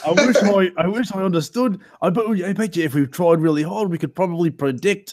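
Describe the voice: A man talks at a fairly quick pace in a high voice, with ordinary pitch variation.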